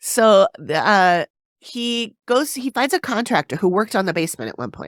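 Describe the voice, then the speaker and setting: Her pitch moves through very wide swings. The woman keeps a moderate pace. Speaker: podcast host. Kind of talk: casual podcast conversation.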